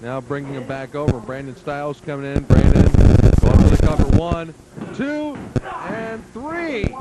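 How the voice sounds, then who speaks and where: A man's voice at a fairly slow pace, with very wide pitch swings over noticeable background noise. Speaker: wrestling commentator. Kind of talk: play-by-play wrestling commentary.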